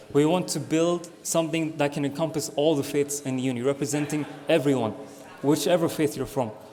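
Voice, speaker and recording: Over noticeable background noise, a man with a fairly high pitch talks at a moderate pace with fairly even intonation. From Scotland. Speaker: student election candidate. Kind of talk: campaign speech.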